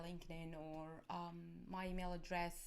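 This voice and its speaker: A soft-spoken voice with an Arabic accent is heard with audible room echo. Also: woman. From Egypt. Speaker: cybersecurity academic. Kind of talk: conference talk. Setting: live stream. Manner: halting. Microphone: external mic, too quiet.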